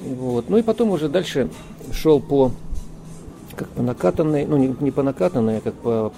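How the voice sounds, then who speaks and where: A man with a medium pitch speaks at a moderate pace with lively intonation, music playing in the background. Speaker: cosmonaut. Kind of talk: interview.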